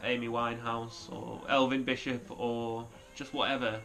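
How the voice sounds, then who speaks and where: This man talks in a medium pitch with monotone, flat intonation. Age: 30s. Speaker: guitarist. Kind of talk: casual vlog talk to camera. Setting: living room at home. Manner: hesitant, lots of fillers.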